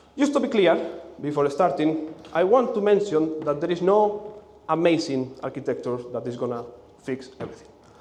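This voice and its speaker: A man with a Spanish accent speaks at a moderate pace, fairly high in pitch and with lively intonation. Noticeable background noise and audible room echo fill the recording. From Spain. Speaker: conference speaker, software engineer. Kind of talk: conference talk. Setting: stage with audience. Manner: halting, with repetitions and fillers.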